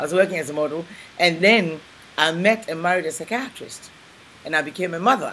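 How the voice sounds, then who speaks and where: Over noticeable background noise, a woman talks at a fairly quick pace with long, frequent pauses. Her pitch is fairly low, with ordinary pitch variation. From Ghana. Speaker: civil celebrant, chef and author. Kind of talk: interview, personal storytelling.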